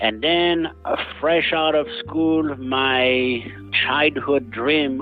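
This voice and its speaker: Music plays in the background as a man talks. He has a strong French accent and ordinary pitch variation. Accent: heavy French. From France, Beaujolais. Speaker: winery owner and winemaker. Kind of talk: interview.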